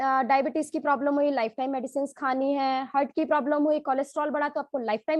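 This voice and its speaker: Ordinary pitch variation in a woman's high-pitched speech. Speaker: doctor. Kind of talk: testimony.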